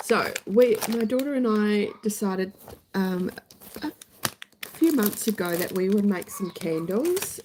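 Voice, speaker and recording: Through noticeable background noise, a woman at medium pitch speaks at a fairly slow pace with lively intonation. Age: middle-aged. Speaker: YouTube creator. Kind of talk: casual live-stream chat.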